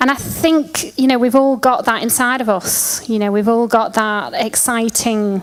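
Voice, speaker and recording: A woman with a Lancashire accent, fairly high in pitch, at a moderate pace with hardly any pauses, over noticeable background noise. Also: ordinary pitch variation. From Lancashire, northern England. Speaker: event organiser. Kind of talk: conference talk. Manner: animated.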